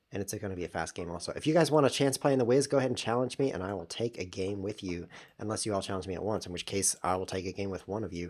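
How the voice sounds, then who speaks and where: The recording is very clean with a silent background. The speech comes at a very fast pace. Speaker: chess streamer. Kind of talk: live game commentary. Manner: animated. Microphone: new microphone.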